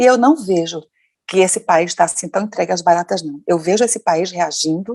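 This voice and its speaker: Animated tone at a moderate pace, ordinary pitch variation, and a dry, close sound with no echo. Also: woman, fairly low pitch for a woman. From Brazil. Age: 60s. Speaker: educator and activist. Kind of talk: interview.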